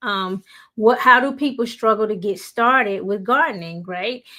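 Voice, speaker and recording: A woman's fairly high voice with a bright, sharp tone and ordinary pitch variation in a very clean recording with a silent background. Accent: Southern US. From US Deep South. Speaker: YouTuber. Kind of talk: motivational talk. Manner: casual, with fillers.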